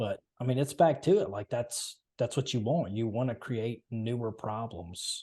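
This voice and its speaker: A man with a Southern US accent speaks at a fairly slow pace, hardly pausing, in a dark, mellow tone that is somewhat breathy. His intonation is lively, and the background is quiet. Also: medium pitch for a man. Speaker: podcast host. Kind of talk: casual chat. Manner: halting.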